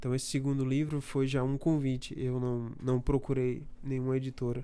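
Medium in pitch, a man speaks in a dark, mellow tone. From Brazil, Bahia (Feira de Santana). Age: 30s. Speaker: poet. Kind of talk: interview.

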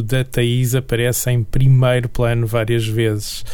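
Speaking at a fairly slow pace, a man with a European Portuguese accent talks at medium pitch. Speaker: radio host. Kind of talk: radio interview.

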